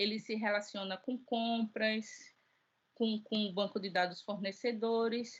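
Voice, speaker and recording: The voice is somewhat breathy, with monotone, flat intonation at a fairly slow pace. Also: woman, fairly high pitch for a woman. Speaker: teacher. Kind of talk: lecture. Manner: halting.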